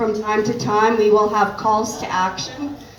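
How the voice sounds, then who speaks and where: In a Canadian accent, a woman with a fairly high pitch talks at a fairly slow pace, with audible room echo and noticeable background noise. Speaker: animal welfare advocate. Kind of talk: informal talk to a volunteer group. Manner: loud. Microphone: cutting in and out.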